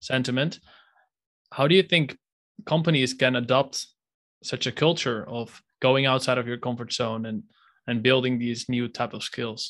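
A man speaks at a moderate pace with a medium pitch and fairly even intonation. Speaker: podcast host. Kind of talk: interview. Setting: video call.

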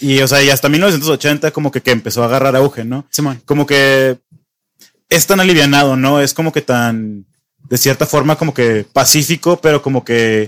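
A fairly high-pitched man with a Mexican accent, at a moderate pace and with ordinary pitch variation, in a dry, close sound with no echo. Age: 20s. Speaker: podcast host. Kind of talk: casual chat.

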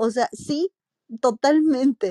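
A woman speaks very slowly with lively intonation, her high voice carrying a dark, mellow tone. The sound is dry and close with no echo. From Mexico, Morelia, Michoacán. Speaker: marketing executive. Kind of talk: interview.

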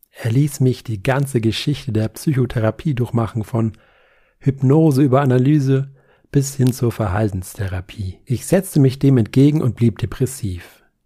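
A man speaks at a moderate pace in a medium pitch, his dark, mellow tone somewhat breathy, with ordinary pitch variation on a very clean recording with a silent background. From Nuremberg, Franconia. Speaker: author. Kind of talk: literary reading.

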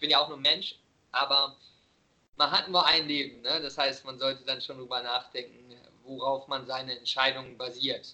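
At a moderate pace, a man speaks in a flat monotone with a fairly high pitch. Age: 20s. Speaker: vegan nutrition coach and podcaster. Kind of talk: casual interview chat. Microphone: occasionally bad connection.

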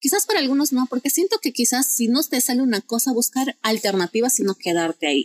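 Very fast and lively in intonation, a woman speaks at a fairly high pitch. The sound is dry and close with no echo. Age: 20s. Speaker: psychology student intern. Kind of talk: interview. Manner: animated.

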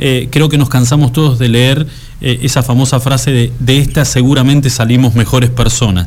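A man at a medium pitch speaks at a moderate pace with fairly even intonation, with noticeable background noise and audible room echo. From Argentina, Santa Cruz (Patagonia). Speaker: radio host. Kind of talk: casual chat.

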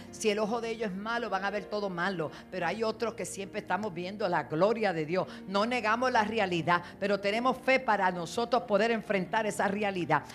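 A woman speaks in an animated tone at a fairly quick pace, with ordinary pitch variation. Noticeable background noise runs underneath. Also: medium pitch for a woman. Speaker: apostle and pastor. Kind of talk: sermon. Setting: church with congregation.

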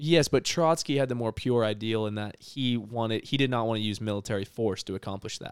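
An unremarkable speaking voice from a man, fairly low in pitch and fairly quick, in a very clean recording with a silent background and a dry, close sound with no echo. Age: 20s. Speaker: podcast co-host. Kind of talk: casual chat.

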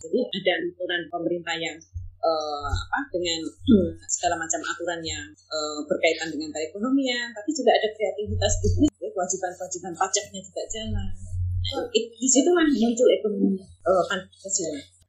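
Fairly quick speech from a woman with big swings in loudness, music in the background. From Sulawesi. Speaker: university vice-rector. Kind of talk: interview. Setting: remote call. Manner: halting. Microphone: poor sound quality.

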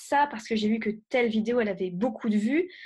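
Against a quiet background, a woman speaks in a fairly high, somewhat breathy voice. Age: 20s. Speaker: web entrepreneur and YouTuber. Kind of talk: podcast interview.

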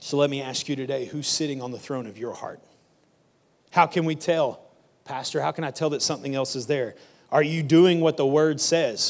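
A man speaks at a fairly high pitch. His loudness swings widely. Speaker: pastor. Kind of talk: sermon. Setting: church stage with audience. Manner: fast when excited.

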